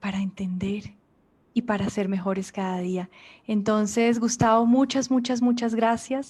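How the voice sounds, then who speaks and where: The speaker sounds somewhat breathy at a fairly slow pace, on a very clean recording with a silent background. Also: woman, fairly high pitch for a woman, fairly even intonation. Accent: Colombian. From Colombia. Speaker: journalist and interviewer. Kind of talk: interview.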